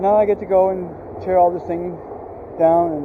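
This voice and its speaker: Noticeable background noise sits behind a man with a high pitch. He speaks at a very slow pace with fairly even intonation. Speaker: outdoor gear vlogger. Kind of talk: tutorial. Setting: outdoors.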